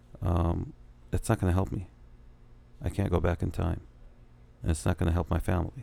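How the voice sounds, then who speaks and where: A man talks fairly quickly in a very deep, low voice with vocal fry. Long pauses come often. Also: ordinary pitch variation. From Iraq. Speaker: entrepreneur and real estate developer. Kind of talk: interview. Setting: cigar lounge.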